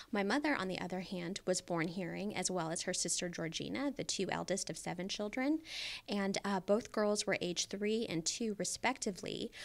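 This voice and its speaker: With vocal fry and ordinary pitch variation, a woman talks at a moderate pace. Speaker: podcast guest. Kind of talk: interview answer. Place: studio. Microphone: studio mic.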